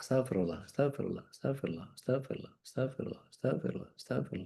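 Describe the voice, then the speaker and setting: A man puts on a robotic character voice at a medium pitch, with lively intonation. He talks very fast. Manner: fast, robotic mechanical repetition.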